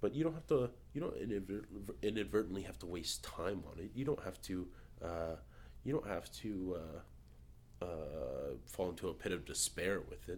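A man speaks at a moderate pace in a very deep, low pitch with vocal fry. His pitch swings very widely. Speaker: guest. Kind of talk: casual chat.

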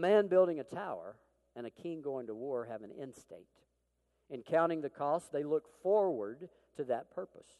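A man with an Arkansas accent speaks at a moderate pace in a dark, mellow tone. His intonation is lively, and his loudness swings widely. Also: fairly high pitch for a man. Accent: Southern US (Arkansas). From Arkansas, US South. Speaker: military chaplain, preacher. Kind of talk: sermon. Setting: church.

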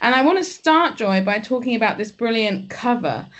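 Against a quiet background, a woman speaks with an English accent. Her pitch is high. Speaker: academic podcast host. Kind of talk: casual interview. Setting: podcast.

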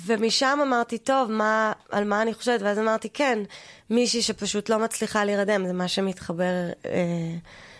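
Speaking at a moderate pace, a woman with a fairly high pitch and ordinary pitch variation uses a plain, everyday voice at a very even loudness. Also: very clean recording, silent background. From US, New York (Queens/Long Island border). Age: 40s. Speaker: comedian and actress. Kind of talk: comedic podcast interview.

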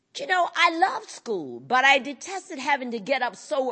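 With an American accent, a woman talks at a fairly slow pace using very wide pitch swings. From US South, North Carolina. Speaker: blind rights advocate. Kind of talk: conference speech.

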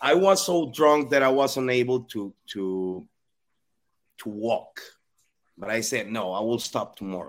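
With a Spanish accent, a man speaks at a medium pitch with lively intonation. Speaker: psychologist sharing recovery story. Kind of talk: testimony. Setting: video call.

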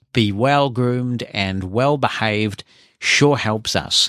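A man with a New Zealand accent speaks fairly slowly with ordinary pitch variation. The sound is dry and close with no echo, in a very clean recording with a silent background. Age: 50s. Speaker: podcast host, former radio presenter. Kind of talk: casual podcast monologue.

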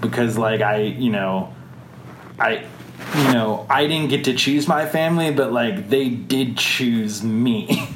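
In an American accent, the speaker talks very slowly with very even loudness and ordinary pitch variation, amid noticeable background noise. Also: man, medium pitch for a man. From Wisconsin, US Midwest. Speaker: adoptee interviewee. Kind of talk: interview. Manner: halting, many fillers.

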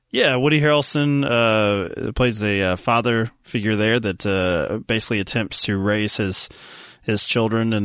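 A plain, everyday voice from a man, fairly low in pitch with ordinary pitch variation, over a quiet background. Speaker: podcast host. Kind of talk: casual chat about films.

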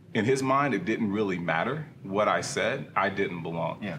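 With lively intonation, a man in a normal speaking voice talks at a moderate pace. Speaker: church elder and small group leader. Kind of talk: casual discussion.

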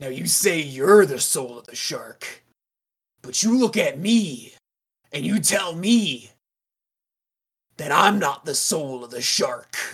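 In a put-on character voice at a middle pitch, the speaker goes at a fairly slow pace with long, frequent pauses. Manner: swaggering, cocky.

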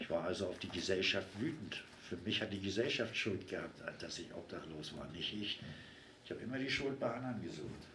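Over noticeable background noise and audible room echo, a fairly low-pitched man talks at a fairly quick pace with lively intonation. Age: 60s. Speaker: formerly homeless man. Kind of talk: personal testimony in interview. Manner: informal, conversational.

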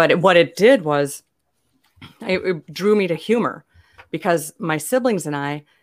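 A woman's normal speaking voice, fairly low in pitch, at a moderate pace, on a very clean recording with a silent background. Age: 50s. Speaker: comedian and author. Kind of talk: interview.

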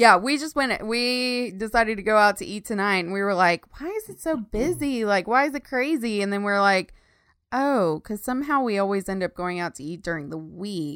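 A woman's medium-pitched, plain, everyday voice at a moderate pace, with lively intonation and big swings in loudness, in a very clean recording with a silent background. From Texas. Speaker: podcast co-host, web designer. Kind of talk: casual chat.

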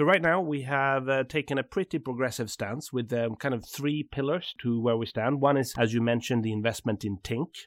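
A man with a Swedish accent talks at a fairly quick pace and medium pitch, with ordinary pitch variation, hardly any pauses, and a dry, close sound with no echo. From southern Sweden. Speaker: bank CEO. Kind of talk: interview conversation.

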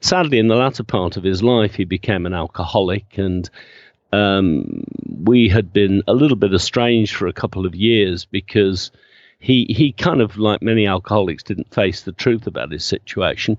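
At a moderate pace, a man talks in a fairly low pitch with ordinary pitch variation, the sound dry and close with no echo against a quiet background. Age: 60s. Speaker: funeral celebrant. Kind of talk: interview. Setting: remote call. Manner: animated.

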